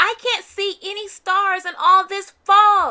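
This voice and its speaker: Squeaky and raised to a projected pitch of delivery, a put-on character voice unfolds at a fairly slow pace. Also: woman. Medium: read story. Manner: hearty, cheerful.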